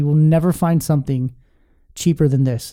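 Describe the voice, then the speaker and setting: A man talks at a moderate pace in a fairly high pitch. His tone is dark and mellow. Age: 30s. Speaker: podcast host. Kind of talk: casual interview; sales pitch. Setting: studio. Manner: animated.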